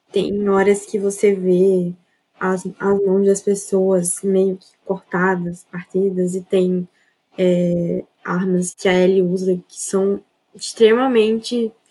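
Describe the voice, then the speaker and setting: At a very slow pace, a woman speaks at medium pitch in a dark, mellow tone, her intonation monotone and flat but her loudness swinging widely. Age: young. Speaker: architecture student, gamer. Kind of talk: casual chat.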